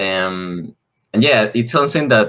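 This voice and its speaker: Against a quiet background, a man with a Spanish accent speaks in a bright, sharp tone. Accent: noticeable Spanish. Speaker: English learner. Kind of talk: casual conversation lesson. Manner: halting.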